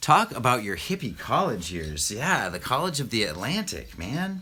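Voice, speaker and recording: Bright and sharp in tone, a man speaks at a moderate pace with very wide pitch swings. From Maine. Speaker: vlogger and contractor. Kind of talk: live Q&A. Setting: basement, livestream. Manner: casual, hesitant fillers.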